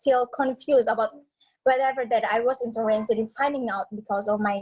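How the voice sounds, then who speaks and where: Her pitch is high for a woman, and this woman's voice shows ordinary pitch variation. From Indonesia, Atambua (West Timor). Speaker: psychology student. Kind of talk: personal story in class. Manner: halting.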